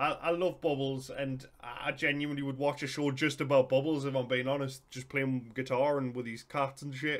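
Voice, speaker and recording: With a Geordie accent, a man talks in monotone, flat intonation and hardly any pauses. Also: moderate pace. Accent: Geordie (Newcastle) English. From northern England. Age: 30s. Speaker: YouTube reactor. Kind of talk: casual reaction commentary.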